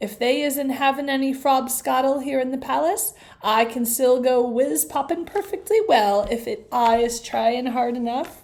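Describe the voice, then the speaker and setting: A put-on character voice at a moderate pace, with hardly any pauses. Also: woman, high pitch for a woman. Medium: read story. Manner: ungrammatical, playful word-mangling.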